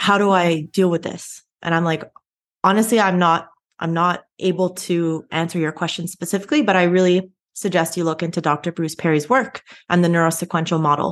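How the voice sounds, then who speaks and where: A woman with an ordinary speaking voice talks at a fairly quick pace and a fairly low pitch. Her intonation stays fairly even over a quiet background. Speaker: PhD researcher and co-host. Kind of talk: interview.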